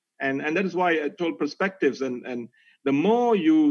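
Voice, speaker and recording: A man with a Malaysian accent speaks in a high voice. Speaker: corporate executive. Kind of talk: webinar talk.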